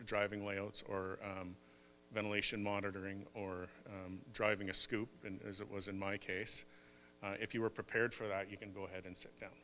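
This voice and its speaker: A man's fairly low voice, bright and sharp in tone, at a moderate pace. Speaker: mining consultant and chamber of commerce chair. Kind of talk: conference talk. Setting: stage with audience. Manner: soft-spoken; halting, many fillers.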